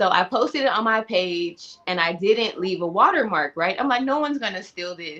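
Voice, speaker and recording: A woman with a normal speaking voice and an American accent, medium pitch, lively intonation, moderate pace and hardly any pauses. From Los Angeles. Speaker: painter and artist. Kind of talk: casual chat.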